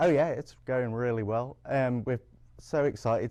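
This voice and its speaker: A man talks with fairly even intonation at a medium pitch. His tone is dark and mellow. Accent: English. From England. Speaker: public librarian. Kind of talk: interview.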